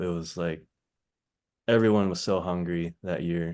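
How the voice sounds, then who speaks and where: A man talks at a fairly slow pace. Nothing can be heard in the quiet background. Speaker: professional basketball player, former college champion. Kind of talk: podcast interview answer, casual conversational storytelling. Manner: soft-spoken.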